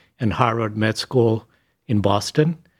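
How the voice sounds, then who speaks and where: A man with an Argentine accent, his pitch in the medium range. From Argentina, Buenos Aires. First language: Spanish. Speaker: speech scientist. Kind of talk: interview.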